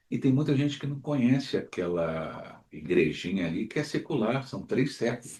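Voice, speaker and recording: Vocal fry and very wide pitch swings in a man's medium-pitched delivery, moderately paced. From Rio de Janeiro, Brazil (Jacarepaguá). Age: 60s. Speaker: podcast host. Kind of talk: interview conversation.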